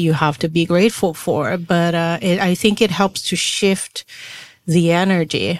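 A woman speaks with a Portuguese accent at a fairly low pitch. Her pace is moderate. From Brazil. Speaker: podcast co-host. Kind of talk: casual chat.

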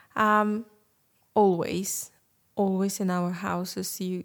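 A woman's very slow, monotone, flat delivery in a Russian accent, on a very clean recording with a silent background. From Ukraine, Crimea. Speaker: Ukrainian refugee. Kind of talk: casual group conversation.

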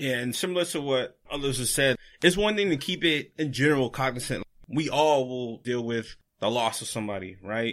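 In an American accent, a man with a normal speaking voice talks at a moderate pace and medium pitch with lively intonation. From Florida. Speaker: clinical social worker. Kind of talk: casual chat.

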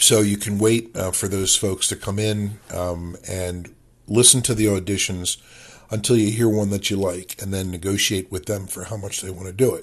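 A man at a moderate pace, fairly low in pitch, somewhat breathy and monotone, against a quiet background. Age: old. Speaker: author podcaster. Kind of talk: monologue talk. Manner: hesitant, filler-heavy.

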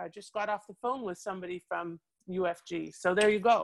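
An unremarkable speaking voice with a Canadian accent and fairly even intonation. It moves at a moderate pace with a dry, close sound with no echo. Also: woman. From Canada. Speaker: international business lawyer. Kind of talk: interview.

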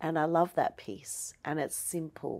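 In an Australian accent, a woman speaks with a very deep, low pitch in a very clean recording with a silent background. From Australia, Melbourne. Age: 40s. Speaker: aromatherapist. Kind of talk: casual interview. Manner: animated.

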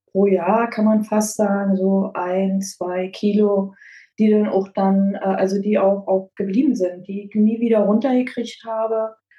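Her voice is medium in pitch and somewhat breathy. This woman's intonation stays monotone and flat. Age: 50s. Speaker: dental prophylaxis assistant, weight-loss client. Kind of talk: interview testimony. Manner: hesitant, many fillers.

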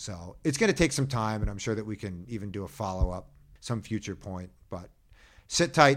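A man's fairly low, fast-moving speech with an American accent, a plain, everyday voice, on a very clean recording with a silent background. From US Northeast, Philadelphia. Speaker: birder and bike-trip adventurer. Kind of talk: interview conversation.

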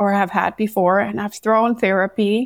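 A woman is speaking. She has a Danish accent. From Denmark. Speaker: numerologist. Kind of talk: interview.

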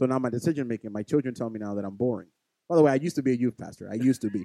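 Dry and close with no echo, a man with a New York accent talks at a very fast pace in a medium pitch with a dark, mellow tone and ordinary pitch variation. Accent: New York (Bronx). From New York City, the Bronx. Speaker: podcast co-host. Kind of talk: casual chat.

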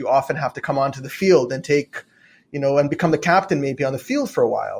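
On a very clean recording with a silent background, a somewhat breathy man speaks at a fairly quick pace in a fairly high pitch with ordinary pitch variation. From Israel. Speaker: health tech CEO. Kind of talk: interview.

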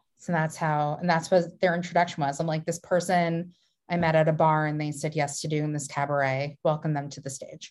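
A woman's very deep, low voice, monotone and flat, fairly quick, with big swings in loudness against a quiet background. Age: 20s. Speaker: podcast host. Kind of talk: casual chat.

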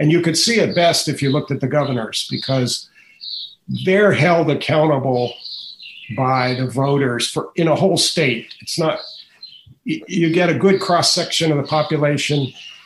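A man speaks at a moderate pace with a fairly high pitch and ordinary pitch variation. His voice is somewhat breathy. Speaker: author and education policy writer. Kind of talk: interview.

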